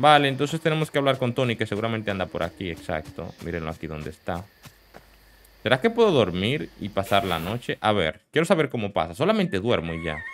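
With a Latin American accent, a man speaks at a fairly quick pace. His fairly low pitch moves in very wide swings. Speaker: gaming youtuber. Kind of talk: let's play commentary.

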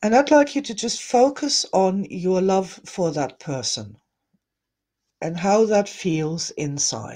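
Slow to a crawl, a woman's dark, mellow voice carries a gentle, soothing tone across very wide pitch swings. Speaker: energy healing teacher. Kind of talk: guided meditation. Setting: live online broadcast to viewers. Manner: soft, gentle, soothing and slow-paced; warm, loving, reassuring. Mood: warm, gentle, soothing. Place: home room. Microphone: webcam.

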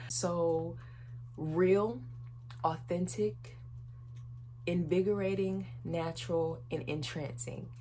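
Amid light background noise, a woman with an American accent speaks at a very slow pace, leaving long, frequent pauses. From North Carolina, US. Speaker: YouTuber. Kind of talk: casual vlog to camera. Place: home room. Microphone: phone near.

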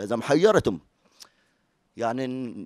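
A man speaks with lively intonation. The sound is dry with no echo, over a quiet background. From Palestine, Hebron area; Palestine. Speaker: folk poet; storyteller at community event. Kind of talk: testimony. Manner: halting. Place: hall. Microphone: handheld.

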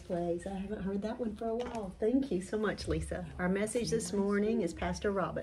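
Noticeable background noise sits behind a woman speaking at a medium pitch. Her pace is fairly quick and her intonation fairly even. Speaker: church announcer. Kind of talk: church announcements. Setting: church. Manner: casual, halting. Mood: warm, friendly. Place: home room. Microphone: studio mic.

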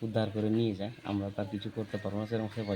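Noticeable background noise runs under the recording. A man speaks in a fairly low pitch. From West Bengal, Malda district. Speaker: local resident who found the bird. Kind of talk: on-the-spot interview. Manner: halting.

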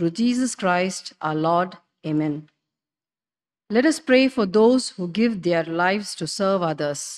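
A woman at a very slow pace with lively intonation, over a quiet background. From India. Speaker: intercessor. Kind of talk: prayer. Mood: solemn, reverent. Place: church.

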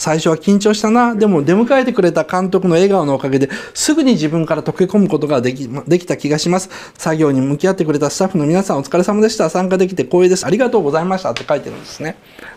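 A man at a very fast pace with hardly any pauses, lively intonation and big swings in loudness. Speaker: commentator. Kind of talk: commentary. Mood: amused, smiling. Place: home room. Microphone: lapel.

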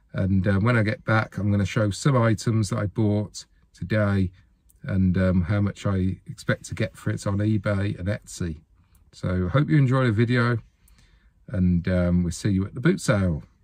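Against a quiet background, a man speaks at a fairly low pitch and a moderate pace. The sound is dry with no echo, and his pitch variation is ordinary. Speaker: reseller vlogger. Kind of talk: casual vlog chat. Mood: cheerful, relaxed. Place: car. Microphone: phone near.

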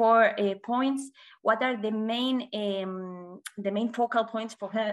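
A woman with a Spanish accent speaks at a fairly slow pace against a quiet background. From Spain. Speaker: communications officer, former journalist. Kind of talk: presentation. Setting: video call. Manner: halting. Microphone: video call.

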